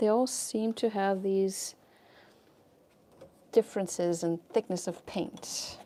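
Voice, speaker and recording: A woman with a non-native accent, medium pitch and a dark, mellow tone, at a very slow pace with long, frequent pauses, fairly even intonation and big swings in loudness. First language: not English. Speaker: fluid art painter and teacher. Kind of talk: live painting tutorial and chat. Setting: livestream. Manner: casual, chatty with hesitations.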